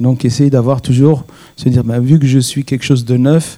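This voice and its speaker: This man has a non-native accent and a medium pitch. His tone is dark and mellow, with monotone, flat intonation. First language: not French (speaking French). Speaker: rabbi. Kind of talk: panel discussion.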